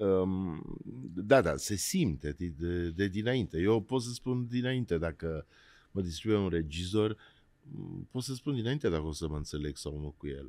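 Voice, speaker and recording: This man has a very deep, low pitch and a dark, mellow tone, talking at a fairly slow pace with lively intonation. The recording is very clean, with a silent background. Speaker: podcast host, actor. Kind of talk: interview.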